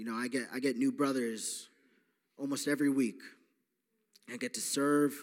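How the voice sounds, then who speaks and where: Pausing long and often, a man speaks at a moderate pace. His medium-pitched voice keeps a fairly even intonation. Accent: American. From New York. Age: 20s. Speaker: recovery program staff member. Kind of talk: testimony. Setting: church.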